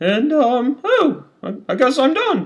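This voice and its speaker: Using a cartoonish character voice, a man speaks at a fairly slow pace and an extremely high pitch. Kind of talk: comic overacting. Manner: haughty, condescending.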